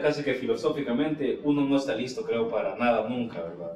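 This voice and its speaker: A man's fairly high-pitched voice with lively intonation comes through audible room echo and noticeable background noise. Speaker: podcast host. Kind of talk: casual chat.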